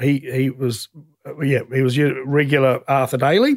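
The speaker has a New Zealand accent and a moderate pace. The intonation is monotone and flat. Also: man. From New Zealand, South Island (Ashburton). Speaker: racing team owner and former racing driver. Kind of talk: interview storytelling.

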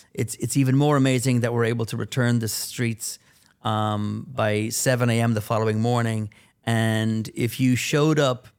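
In a very clean recording with a silent background, a man speaks with an American accent at a moderate pace. His pitch is medium and his intonation fairly even. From Ireland, Dublin. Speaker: event producer. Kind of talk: interview. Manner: halting, many fillers and repetitions.

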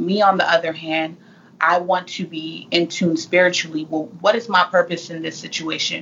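A woman with an American accent and a fairly low pitch speaks at a moderate pace with fairly even intonation in an unremarkable speaking voice. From California. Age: 20s. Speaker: motivational speaker and author. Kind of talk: casual interview.

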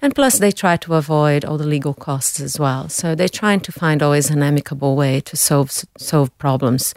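A woman with a Brazilian accent speaks at a moderate pace in a very deep, low pitch, her intonation fairly even and the sound dry and close with no echo. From Brazil, São Paulo. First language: Portuguese. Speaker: food company director, business expert. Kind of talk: interview.

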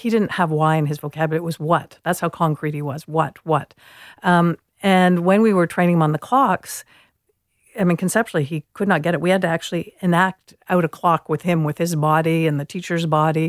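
With an unremarkable speaking voice, a fairly low-pitched woman talks fairly quickly and with fairly even intonation, recorded very cleanly against a silent background in a dry, close sound with no echo. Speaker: educator and author. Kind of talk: interview.

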